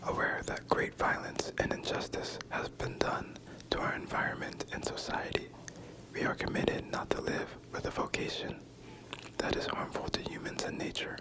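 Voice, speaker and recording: Someone is whispering at a moderate pace over noticeable background noise. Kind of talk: ASMR whispered reading of spiritual text. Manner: whispered.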